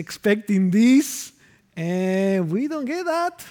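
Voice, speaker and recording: A man speaks at a very slow pace in a Spanish accent, his pitch high and his tone dark and mellow. His intonation is lively. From Argentina. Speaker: pastor. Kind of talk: sermon. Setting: church.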